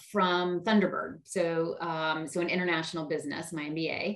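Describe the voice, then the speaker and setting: With an American accent, a woman speaks at a moderate pace in a fairly low pitch amid audible room echo. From US South, Charleston, South Carolina. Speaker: marketing executive. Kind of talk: interview. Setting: video call.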